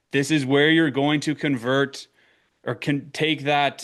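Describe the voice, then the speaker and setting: A man with a medium-pitched voice and an Eastern Canadian accent. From Eastern Canada. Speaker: marketing consultant for accounting firms. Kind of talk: webinar presentation. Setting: online webinar.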